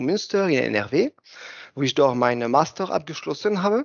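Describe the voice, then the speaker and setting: The man talks with a high pitch. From France. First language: French (speaking German). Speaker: plastics research engineer. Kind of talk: casual interview.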